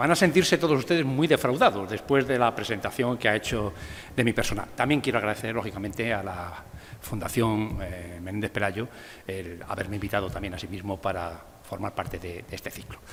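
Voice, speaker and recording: A man with a Castilian accent, fairly low in pitch, with lively intonation and a fairly quick pace. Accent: Castilian (meseta) accent, retained. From Spain, Valladolid (Castile). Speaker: art history professor. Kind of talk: lecture.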